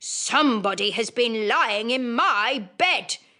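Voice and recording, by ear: This voice is a put-on character. It moves along fairly slowly. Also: female-sounding voice, fairly high pitch for a woman.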